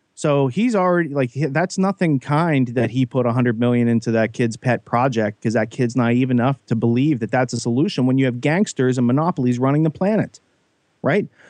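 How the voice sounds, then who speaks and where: On a dry, close recording with no echo, a man with an American accent and an ordinary speaking voice talks at a fairly quick pace, medium in pitch, with ordinary pitch variation and very even loudness. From Western Pennsylvania. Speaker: guest, whistleblower and podcaster. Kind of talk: podcast discussion.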